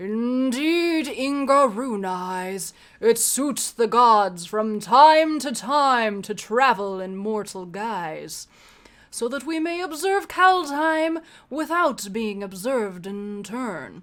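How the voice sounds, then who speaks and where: A woman's put-on character voice, fairly high in pitch, at a very slow pace. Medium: read story. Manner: grave, imperious.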